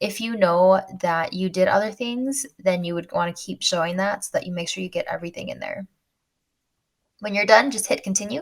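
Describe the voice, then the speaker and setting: Speech moves at a fairly quick pace. The tone is somewhat breathy, and the pitch varies in an ordinary way. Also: woman, medium pitch for a woman. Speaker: finance tutorial youtuber. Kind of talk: screen-share tutorial. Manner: casual, chatty.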